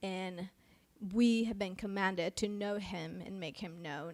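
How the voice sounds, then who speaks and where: With a slight Mexican accent, a woman speaks at a fairly slow pace in a bright, sharp tone on a very clean recording with a silent background. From Mexico. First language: Spanish. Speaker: pastor. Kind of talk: casual chat. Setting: live stream.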